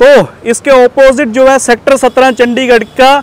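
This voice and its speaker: A man's monotone, flat intonation in a dry sound with no echo. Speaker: market vlogger. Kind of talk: casual vlog chat. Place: street.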